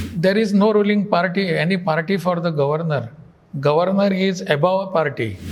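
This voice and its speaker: The pitch of this man's voice is high. He moves at a fairly quick pace. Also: ordinary pitch variation, very even loudness. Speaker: state governor, politician. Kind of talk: interview answer. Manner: soft-spoken.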